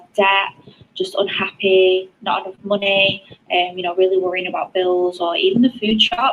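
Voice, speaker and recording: Someone with a British accent speaks over noticeable background noise. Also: woman. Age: 20s. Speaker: network marketer. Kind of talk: testimony.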